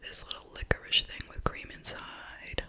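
A soft-spoken voice whispers at a very slow pace over light background noise. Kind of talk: casual vlog chat. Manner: soft ASMR whisper, close and intimate.

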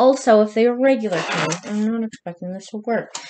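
Noticeable background noise fills the clip. A woman talks through it. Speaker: podcast host reviewing product. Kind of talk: casual vlog chat. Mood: playful, joking. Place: home room. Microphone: phone near.

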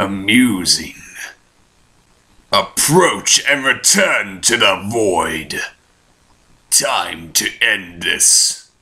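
A man puts on a character voice at medium pitch, talking very slowly with long, frequent pauses. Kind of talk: villain voice acting. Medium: fan dub. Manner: grave, imperious, slow.

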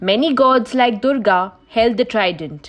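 A woman with an unremarkable speaking voice talks at a fairly high pitch with lively intonation against a quiet background. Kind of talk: scripted mythology documentary narration. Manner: formal, even-paced explanatory delivery.

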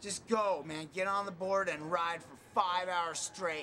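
A man with an American accent speaks slowly in a high-pitched, raised, projected voice. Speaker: skateboarder. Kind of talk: casual interview. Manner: animated.

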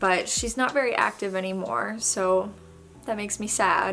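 A woman's fairly slow, fairly even delivery at a medium pitch, with light background noise. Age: 20s. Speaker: YouTuber. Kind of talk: casual Q&A vlog. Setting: home, dog in background. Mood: chatty, open, reflective. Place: home room.

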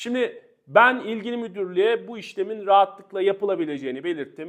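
A high-pitched man's voice with lively intonation at a moderate pace. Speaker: lawyer. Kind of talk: legal explainer video.

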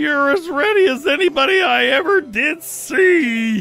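A cartoonish character voice shouts at a high pitch and a moderate pace. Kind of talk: cartoon pep talk. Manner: folksy, streetwise, encouraging.

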